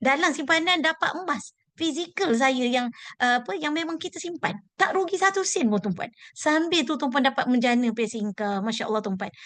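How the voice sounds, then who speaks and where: Speaking at a moderate pace, a woman with a high voice makes very wide pitch swings. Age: 40s. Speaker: gold savings dealer. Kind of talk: motivational talk. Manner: halting.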